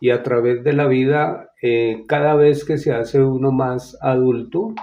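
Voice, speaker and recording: Here a man is speaking. His pace is very slow. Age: 70s. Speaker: interviewee sharing grief experience. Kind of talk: interview testimony. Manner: halting, with many fillers.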